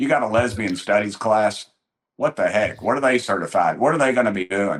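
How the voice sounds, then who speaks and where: In a Tennessee accent, a man talks at a fairly quick pace and medium pitch. His tone is animated and his intonation lively. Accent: Southern US (Tennessee). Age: 60s. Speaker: congressman. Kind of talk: political talk show interview. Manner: animated, folksy storytelling.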